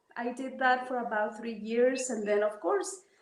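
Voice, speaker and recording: A woman's voice with audible room echo. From Mexico, Oaxaca mountains. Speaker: traditional healer. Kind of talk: interview. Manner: halting.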